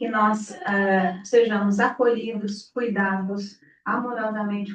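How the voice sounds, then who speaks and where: Her voice is medium in pitch for a woman, with monotone, flat intonation. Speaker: spiritist center leader. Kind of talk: talk to gathering. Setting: room with audience, no PA. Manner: projecting loudly.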